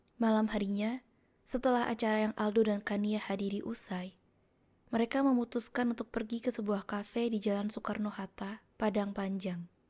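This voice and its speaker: A soft-spoken woman with a fairly high pitch and a dark, mellow tone, somewhat breathy, in a monotone, flat intonation at a moderate pace. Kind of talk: audiobook narration.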